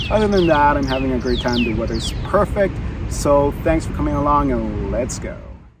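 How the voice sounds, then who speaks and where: The pace is moderate. Noticeable noise sits in the background. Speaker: travel vlogger. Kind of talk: travel vlog monologue. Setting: outdoors in a park. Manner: casual with many fillers.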